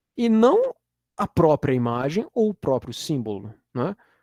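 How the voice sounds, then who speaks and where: A man with a Minas Gerais accent speaks at a fairly slow pace, his pitch swinging very widely, in a dry, close recording with no echo. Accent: Minas Gerais Brazilian Portuguese. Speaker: university lecturer. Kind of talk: lecture. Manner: casual, with frequent fillers and repetitions.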